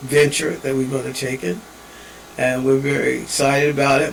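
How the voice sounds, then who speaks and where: Noticeable background noise and audible room echo around a man's moderate pace. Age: 70s. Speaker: father and evangelist. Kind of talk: personal video message. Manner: rambling, halting.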